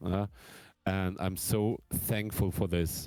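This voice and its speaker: A man with a German accent and a fairly low pitch at a fairly slow pace, dry and close with no echo, music in the background. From Germany. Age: 30s. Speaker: drummer. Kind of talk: casual chat. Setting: live stream.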